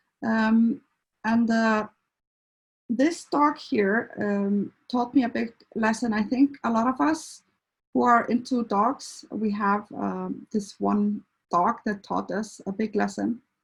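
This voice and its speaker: Somewhat breathy, a woman with an Icelandic accent talks at a very slow pace and a fairly high pitch. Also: ordinary pitch variation. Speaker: veterinarian and animal behaviour counsellor. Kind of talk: presentation talk. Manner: halting, many fillers.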